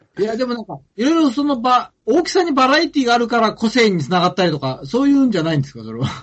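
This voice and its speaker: Here a man speaks at an extremely high pitch and a very fast pace. His pitch swings very widely. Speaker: anime podcast co-host. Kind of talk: casual chat.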